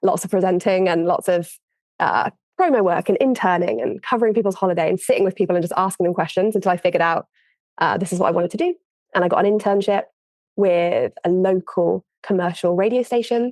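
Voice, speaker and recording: Recorded with a dry, close sound with no echo, a woman with an English accent speaks at a very fast pace, with medium pitch and ordinary pitch variation. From England, Worcester. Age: 30s. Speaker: audio producer. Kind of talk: interview.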